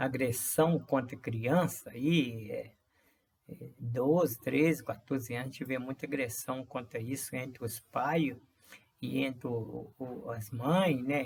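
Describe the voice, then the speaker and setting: A man speaks very slowly at a medium pitch, his voice showing vocal fry and his intonation fairly even. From rural Brazil. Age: 60s. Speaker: vlogger. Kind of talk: personal monologue. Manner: halting, many fillers and repetitions.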